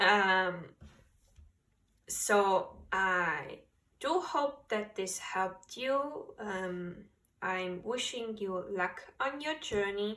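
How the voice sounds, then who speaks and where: With a non-native accent, a woman speaks very slowly at a medium pitch, using lively intonation and a bright, sharp tone broken by long, frequent pauses. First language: not English. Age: 20s. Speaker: tarot reader. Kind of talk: tarot reading.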